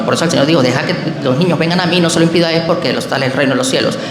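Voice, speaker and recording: A man with a fairly high voice talks in a space with audible echo and noticeable background noise. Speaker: protestant pastor. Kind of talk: public religious debate. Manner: fast; hesitant, with fillers.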